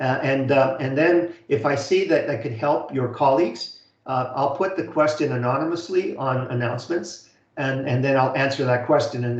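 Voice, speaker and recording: A fairly quick pace and fairly even intonation, with audible room echo. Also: man. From Canada. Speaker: college instructor. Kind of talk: online lecture. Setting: video call webinar. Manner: fast; halting, many fillers and repeats.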